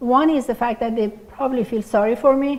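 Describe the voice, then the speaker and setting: A woman speaks with a non-native accent. Her pitch is high, with ordinary variation. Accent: foreign. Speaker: pathologist, department head. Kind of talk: lecture.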